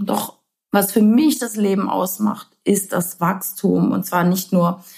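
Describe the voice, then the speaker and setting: The voice carries vocal fry. It moves at a very slow pace. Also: woman. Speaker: podcast host. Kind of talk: personal monologue. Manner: warm, gently animated with laughs.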